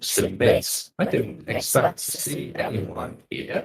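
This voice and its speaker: A man puts on a raspy character voice. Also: fairly slow pace. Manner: scary, creepy.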